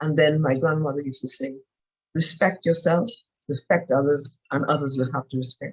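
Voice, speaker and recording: A woman's very deep, low, somewhat breathy voice comes across dry and close with no echo. She speaks at a moderate pace with fairly even intonation. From Bahamas, Exuma. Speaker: retired judge and panelist. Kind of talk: panel discussion. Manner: formal.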